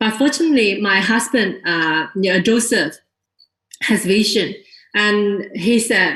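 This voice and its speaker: In a Chinese accent, a woman talks very slowly at a medium pitch with ordinary variation. Her tone is bright and sharp. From China. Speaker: network marketing distributor. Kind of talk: testimony to an audience. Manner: unprepared, hesitant.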